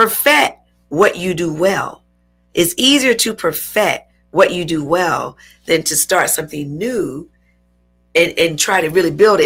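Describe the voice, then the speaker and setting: Music plays in the background as a woman speaks at a fairly slow pace. Her medium pitch carries lively intonation. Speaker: talk show host and entrepreneur. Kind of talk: interview.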